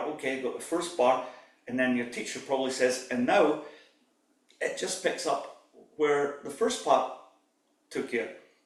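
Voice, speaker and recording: The man has a fairly high voice. Audible room echo surrounds it. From Scotland. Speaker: pipe band drumming teacher. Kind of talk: workshop lecture.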